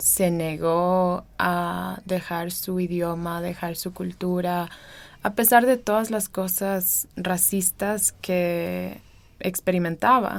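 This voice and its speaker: A woman speaks very slowly in a fairly low pitch. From Ecuadorian Amazon (Sarayaku community). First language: Kichwa (also Swedish) (speaking Spanish). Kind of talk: personal testimony interview. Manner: hesitant, many fillers.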